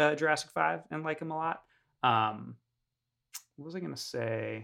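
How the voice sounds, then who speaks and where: A man is speaking. He has an American accent. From New York. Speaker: podcast co-host. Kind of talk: casual chat.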